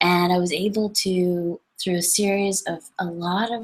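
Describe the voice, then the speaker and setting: Fairly even intonation with a Canadian accent. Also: woman. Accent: noticeable Canadian. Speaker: numerologist. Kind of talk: webinar talk. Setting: online webinar. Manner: casual, with many self-corrections.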